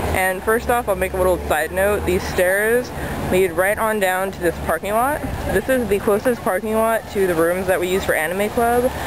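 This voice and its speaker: A quiet woman's voice at medium pitch, with ordinary pitch variation, moves at a moderate pace over noticeable background noise. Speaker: anime club member. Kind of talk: walking tour guide. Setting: outdoors on campus, walking. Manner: quiet, subdued.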